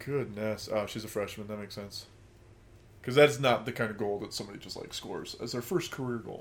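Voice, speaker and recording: Very fast in pace, a man speaks at a medium pitch with fairly even intonation. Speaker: sports podcast co-host. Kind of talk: casual chat.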